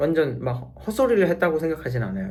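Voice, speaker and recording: Audible room echo surrounds a man's somewhat breathy, fairly high voice. He moves at a moderate pace with very wide pitch swings. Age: 30s. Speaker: physiotherapy student vlogger. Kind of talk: casual vlog monologue. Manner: rambling, halting.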